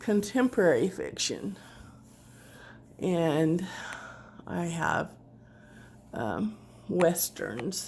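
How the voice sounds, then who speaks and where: This woman speaks at a very slow pace with ordinary pitch variation. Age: 60s. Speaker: author and crafter. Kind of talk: casual DIY tutorial chat. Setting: at home, dining room. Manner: casual, hesitant with fillers.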